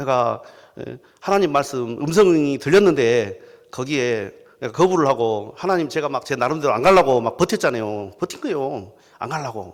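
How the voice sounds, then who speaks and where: The man's intonation is lively, and his pace stays moderate. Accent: strong Jeolla. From South Jeolla, Korea. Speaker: pastor. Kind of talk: sermon. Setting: church. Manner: animated storytelling.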